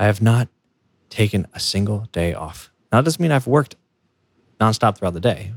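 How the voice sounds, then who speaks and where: A man's somewhat breathy voice carries lively intonation, the sound dry and close with no echo. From United States. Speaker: podcast host, software engineer. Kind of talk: solo podcast monologue. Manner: halting, self-correcting.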